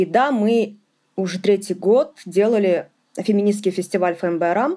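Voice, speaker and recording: A normal speaking voice at a moderate pace. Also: woman. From Ufa, Bashkortostan. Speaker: feminist activist and podcaster. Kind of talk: interview.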